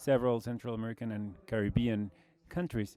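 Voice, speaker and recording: With a Brazilian accent, a man talks in a dark, mellow tone with ordinary pitch variation, the sound dry and close with no echo. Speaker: logistics executive. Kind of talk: conference presentation.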